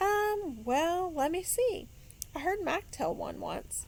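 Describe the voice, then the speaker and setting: Putting on a squeaky character voice, a woman speaks fairly slowly at an extremely high pitch in a gentle tone. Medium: read story. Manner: patient, gentle.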